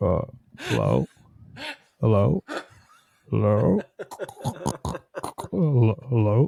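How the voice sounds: In a put-on character voice, a man speaks very slowly at a fairly low pitch, with long, frequent pauses.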